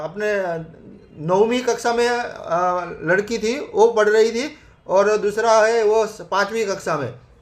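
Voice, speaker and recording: The man's voice is pitched high. It rises and falls in a normal way. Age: 60s. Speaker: network marketing member. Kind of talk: testimony. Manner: halting.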